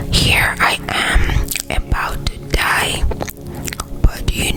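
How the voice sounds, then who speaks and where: A very slow whisper over noticeable background noise. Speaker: ASMR creator. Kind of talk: Bible story reading. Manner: whispered.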